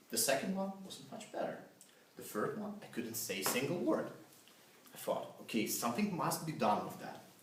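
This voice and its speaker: Heard with audible room echo and noticeable background noise, a man speaks at a moderate pace in a high voice with very wide pitch swings and big swings in loudness. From Russia. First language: Russian. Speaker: club speaker. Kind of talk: prepared speech. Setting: stage with audience.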